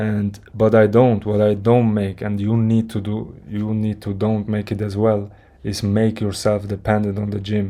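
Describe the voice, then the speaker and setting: A man speaks at a fairly low pitch and a moderate pace, his tone dark and mellow. His intonation is monotone and flat, and the recording is very clean with a silent background. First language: not English. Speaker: fitness content creator. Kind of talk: motivational monologue. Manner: halting, with restarts.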